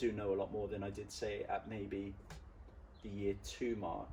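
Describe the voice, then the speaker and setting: This man's voice sits fairly low and sounds somewhat breathy. His pace is moderate. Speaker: personal trainer. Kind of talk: interview. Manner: halting.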